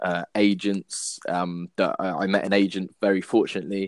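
A man's fairly low, flat, monotone voice, very cleanly recorded against silence, dry and close with no echo. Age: 20s. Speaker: football writer. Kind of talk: casual interview.

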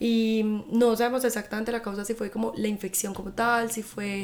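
Over noticeable background noise, a woman with a fairly high voice speaks at a fairly quick pace in a flat monotone. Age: 20s. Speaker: podcast host. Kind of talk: casual monologue. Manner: informal.

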